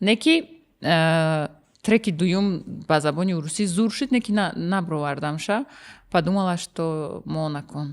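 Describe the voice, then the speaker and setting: A woman's fairly low voice in a Russian accent, very slow, with ordinary pitch variation, on a very clean recording with a silent background. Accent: Russian-leaning when speaking Tajik. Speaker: singer and rapper. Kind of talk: casual interview chat. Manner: mixes Russian and Tajik, many fillers.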